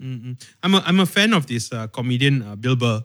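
A man with a Malaysian accent speaks with lively intonation on a very clean recording with a silent background. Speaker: podcast host. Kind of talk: casual chat.

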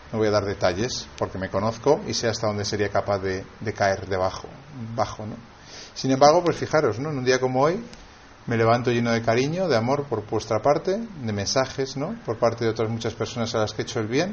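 A man talks rather quickly, his mid-range pitch rising and falling in a normal way. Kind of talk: sermon. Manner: halting.

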